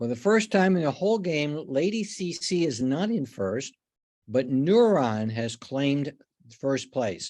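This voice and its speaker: This man speaks with an American accent in a dark, mellow tone, his fairly high pitch making very wide swings at a fairly slow pace. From New York state. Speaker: insurance exam instructor. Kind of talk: online exam review game. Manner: casual, conversational.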